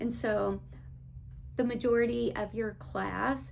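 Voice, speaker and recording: A woman speaks slowly, fairly so, in a strong Texas accent. Audible room echo surrounds her. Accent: thick Texas. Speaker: education consultant. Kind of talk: teacher training talk.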